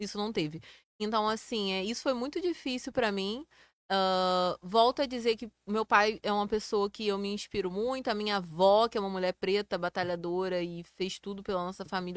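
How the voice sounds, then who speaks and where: An unremarkable speaking voice with ordinary pitch variation comes through in a dry, close sound with no echo on a very clean recording with a silent background. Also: woman. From Rio de Janeiro state interior, Brazil. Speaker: electrical engineer. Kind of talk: interview.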